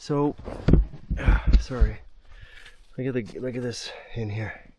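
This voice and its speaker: There is noticeable background noise as a man of medium pitch talks fairly slowly with fairly even intonation. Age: 60s. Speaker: woodsman vlogger. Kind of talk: outdoor tutorial vlog. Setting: outdoors in winter woods. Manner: casual, chatty.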